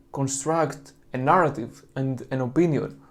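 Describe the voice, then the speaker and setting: A man speaks with a Greek accent at a fairly slow pace. His intonation is fairly even, and room echo is audible. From Greece. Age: 20s. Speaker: religious video creator. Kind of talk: monologue lecture on apologetics.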